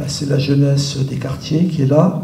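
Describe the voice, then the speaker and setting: A man speaks at a very slow pace with a fairly high pitch and fairly even intonation, amid audible room echo and noticeable background noise. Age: 70s. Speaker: activist. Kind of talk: panel talk. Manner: hesitant, many fillers.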